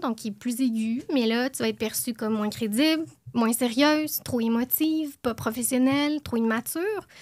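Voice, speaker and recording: A woman with an unremarkable speaking voice talks at a moderate pace and a fairly high pitch, with ordinary pitch variation. The recording is very clean, with a silent background. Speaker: podcast co-host, columnist. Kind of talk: podcast chat with prepared column.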